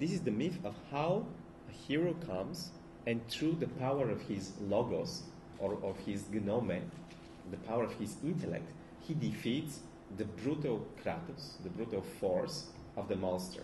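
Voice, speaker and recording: A man with a Bulgarian accent and a somewhat breathy, medium-pitched voice speaks at a fairly slow pace with very wide pitch swings, and the room echo is audible. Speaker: philosopher. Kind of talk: lecture. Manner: halting, many fillers and restarts.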